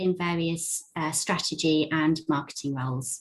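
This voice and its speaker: A woman with an English accent speaks at a fairly slow pace. Her pitch is fairly low, and her intonation fairly even. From England. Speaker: recruitment and marketing specialist. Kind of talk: panel presentation.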